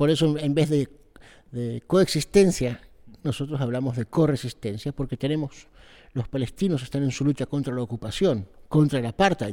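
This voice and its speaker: The recording is very clean, with a silent background and a dry, close sound with no echo. A man speaks at a moderate pace with a fairly high pitch, ordinary pitch variation and a dark, mellow tone. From Israel (kibbutz), born in Argentina. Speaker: political activist, NGO director. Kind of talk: interview. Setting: backstage before a public talk. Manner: hesitant, many fillers.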